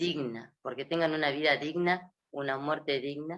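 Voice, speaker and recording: A woman speaks in a Rioplatense accent with a very deep, low pitch. Her intonation stays fairly even. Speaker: gerontology specialist. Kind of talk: interview.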